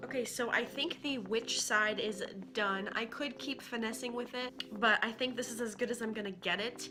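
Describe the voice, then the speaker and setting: A woman speaks at a moderate pace with hardly any pauses over noticeable background noise. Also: fairly high pitch for a woman. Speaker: beauty vlogger. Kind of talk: makeup tutorial talk to camera. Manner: casual.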